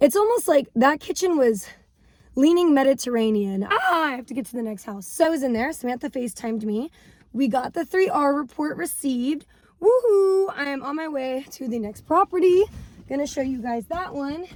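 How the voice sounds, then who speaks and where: Over noticeable background noise, a woman with a high pitch and an animated tone speaks at a moderate pace, with very wide pitch swings and big swings in loudness. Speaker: real estate agent, vlogger. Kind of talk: casual vlog.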